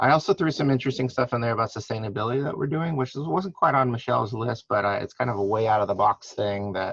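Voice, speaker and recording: With an American accent, a man speaks very fast with hardly any pauses over noticeable background noise. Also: medium pitch for a man, lively intonation. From US Midwest (St. Louis, Missouri). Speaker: hospital food service director. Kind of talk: guest lecture.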